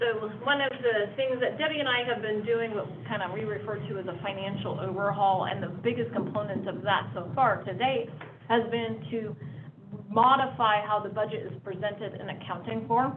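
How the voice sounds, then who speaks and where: Over noticeable background noise and audible room echo, a woman talks at a medium pitch with lively intonation. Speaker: district finance staff presenting budget. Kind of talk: board meeting presentation. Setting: public board meeting. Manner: fast.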